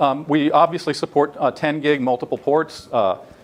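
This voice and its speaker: Noticeable background noise sits under a man's fairly high voice. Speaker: tech company product executive presenting. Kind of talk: technical presentation to a panel. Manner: fast; halting, many fillers.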